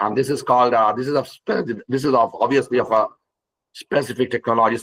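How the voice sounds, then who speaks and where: Putting on a hoarse character voice, a man rattles along at a very fast pace, medium in pitch and flat in intonation. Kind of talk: formal presentation.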